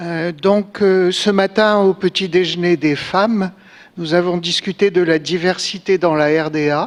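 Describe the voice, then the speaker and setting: A woman with a French accent speaks at a moderate pace in a fairly low pitch, her intonation fairly even. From France. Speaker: conference speaker. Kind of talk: conference address.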